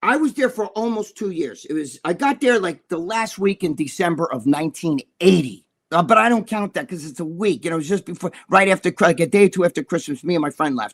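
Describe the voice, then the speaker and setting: With a New York accent, a man talks at a fairly quick pace in a high pitch, his tone animated and intonation lively, in a dry, close sound with no echo. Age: 60s. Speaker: bodybuilder and magazine columnist. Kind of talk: casual chat. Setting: live stream show.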